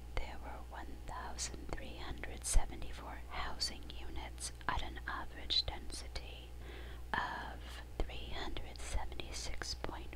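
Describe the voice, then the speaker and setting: Soft-spoken and whispering, a woman talks at a very slow pace. Noticeable background noise sits behind her. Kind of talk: reading statistics. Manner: whispered, soft-spoken.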